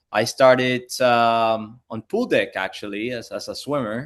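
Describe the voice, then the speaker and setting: Against a quiet background, a man speaks at a medium pitch with a Spanish accent and fairly even intonation. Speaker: pool industry educator. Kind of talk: interview conversation.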